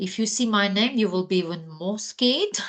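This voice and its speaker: A woman speaks at medium pitch in a Ukrainian accent. Her intonation is lively. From Ukraine. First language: Ukrainian or Russian. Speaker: educational psychologist. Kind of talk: guest talk to students.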